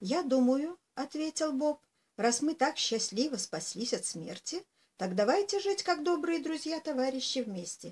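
A fairly slow pace from a woman with a high-pitched voice. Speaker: storyteller. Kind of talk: reading a fairy tale aloud. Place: home room. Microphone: webcam.

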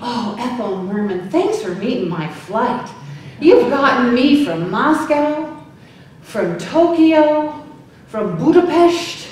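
In strong room echo, a woman with a high pitch speaks at a very slow pace with very wide pitch swings. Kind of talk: impromptu speech. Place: hall. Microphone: camera far.

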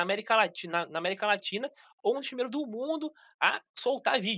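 A man's raised, projected voice at an extremely high pitch, bright and sharp in tone with lively intonation, against a quiet background. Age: 30s. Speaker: gaming youtuber. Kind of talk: casual interview chat. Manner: halting, repeats words. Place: home room. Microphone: video call.

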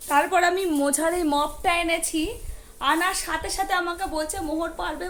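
With audible room echo, a woman speaks at an extremely high pitch with ordinary pitch variation. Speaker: mother vlogger. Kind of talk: talking to child and viewers. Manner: loud scolding.

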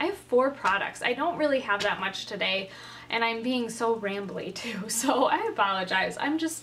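A woman at a moderate pace with lively intonation, over light background noise. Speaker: beauty vlogger. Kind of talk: casual vlog chat. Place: home room. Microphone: phone near.

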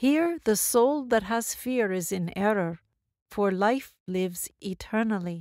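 Lively intonation marks a woman's medium-pitched voice. She speaks at a very slow pace in a very clean recording with a silent background. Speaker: audiobook narrator; stage performer. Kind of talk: audiobook reading of spiritual dialogues.

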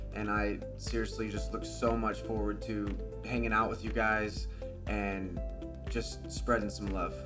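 A man with an American accent at a fairly slow pace, with clear music playing in the background. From Indiana, USA. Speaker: gamer and streamer. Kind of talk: casual talk to camera. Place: home room.

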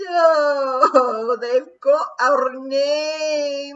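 The speaker uses a high-pitched, put-on character voice. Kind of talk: story reading with character voices. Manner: distressed, tearful. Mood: exaggerated, expressive delivery.

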